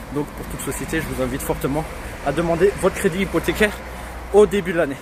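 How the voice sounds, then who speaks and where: Over noticeable background noise, a man with a fairly high pitch talks at a very fast pace, his loudness swinging a lot while his pitch varies in an ordinary way. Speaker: real estate investor and website founder. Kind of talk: walking vlog tutorial. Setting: outdoors, walking in the street.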